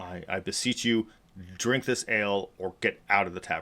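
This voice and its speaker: Using a put-on character voice, a man speaks gruffly at a fairly low pitch and a moderate pace. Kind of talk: archaic, formal. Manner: gruff, demanding.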